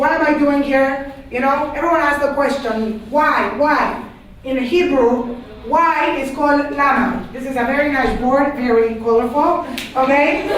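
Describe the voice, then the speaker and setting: With a Panamanian accent, a high-pitched woman speaks at a fairly slow pace amid audible room echo and noticeable background noise. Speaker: religious studies teacher. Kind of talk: lecture to class. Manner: animated.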